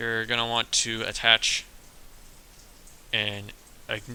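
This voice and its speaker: Relaxed in tone, a man speaks at a very slow pace. His pitch is medium. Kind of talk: casual building tutorial talk. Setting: wearing a mask, slightly muffled. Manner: casual, relaxed.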